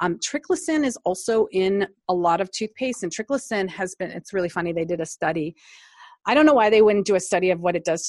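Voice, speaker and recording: A woman with an American accent has a plain, everyday voice at medium pitch. She speaks at a fairly quick pace with lively intonation against a quiet background. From US Midwest, Cleveland Ohio. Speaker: nurse anesthetist and natural dental product maker. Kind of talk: interview.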